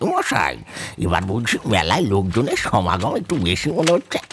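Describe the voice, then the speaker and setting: Using a put-on character voice, a man talks at a moderate pace with fairly low pitch and very even loudness. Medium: audio drama. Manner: chatty, enthusiastic.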